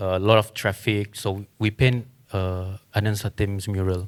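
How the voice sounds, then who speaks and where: A man with a Malaysian accent and a fairly low pitch speaks at a fairly slow pace in a very clean recording with a silent background. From Sarawak, Malaysia. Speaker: muralist. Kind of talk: panel discussion.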